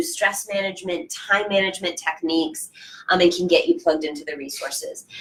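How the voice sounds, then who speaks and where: Through noticeable background noise, a woman speaks at a fairly quick pace and medium pitch with ordinary pitch variation. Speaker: transfer center director. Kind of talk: panel discussion.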